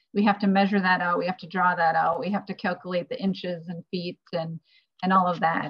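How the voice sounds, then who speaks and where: A woman with a Midwestern American accent talks at a fairly quick pace in monotone, flat intonation, with a dry sound with no echo and a quiet background. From northeast Iowa. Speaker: interior designer; panelist. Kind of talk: career panel talk. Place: home room. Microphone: video call.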